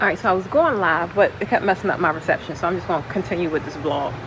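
Noticeable background noise accompanies a woman whose voice shows ordinary pitch variation. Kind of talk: casual vlog chat. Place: shop. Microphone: phone near.

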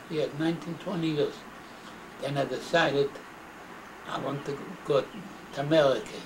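A man with a non-native accent at fairly high pitch, fairly slow, with noticeable background noise. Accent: non-native English, immigrant. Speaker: grandfather recounting life story. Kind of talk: interview answer. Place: home room. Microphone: old recording.

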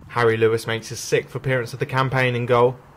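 Here is a plain, everyday voice from a man. He pitches it at a medium level and keeps a fairly quick pace. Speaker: match report narrator. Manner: measured, even and formal, steady newsreader-like delivery.

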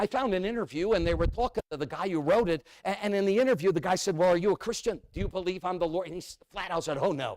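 Talking at a very fast pace with hardly any pauses, a man with a New England accent uses an animated tone and a high pitch, captured in a dry, close sound with no echo. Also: ordinary pitch variation. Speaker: evangelist preacher. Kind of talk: sermon.

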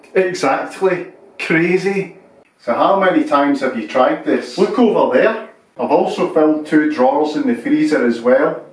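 A man speaks at a moderate pace with a high pitch. There is audible room echo. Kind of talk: scripted comedy dialogue. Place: kitchen.

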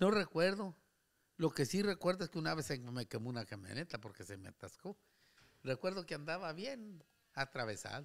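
A man with a fairly high voice and vocal fry speaks at a moderate pace, his loudness swinging widely and his pitch ranging very widely, against a quiet background. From Durango, Mexico. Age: 70s. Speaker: retired worker, host's uncle; host's uncle. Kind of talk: casual interview chat. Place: home room. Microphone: studio mic.

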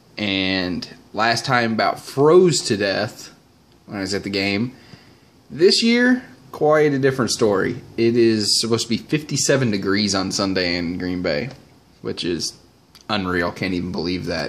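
Lively intonation marks this man's fairly low voice as he speaks at a fairly slow pace. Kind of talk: casual vlog chat. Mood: upbeat, excited about trip. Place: home room.

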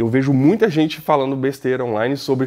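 This man talks at a very fast pace with a medium pitch. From Brazil. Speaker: drone YouTuber. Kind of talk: vlog review. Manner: casual, animated. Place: studio. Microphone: lapel.

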